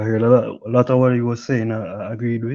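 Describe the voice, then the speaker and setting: Against a quiet background, a man with a Jamaican accent talks at medium pitch and a moderate pace, his tone dark and mellow and his intonation fairly even. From Jamaica, Kingston. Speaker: caller, football fan. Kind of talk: casual chat. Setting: live stream call-in.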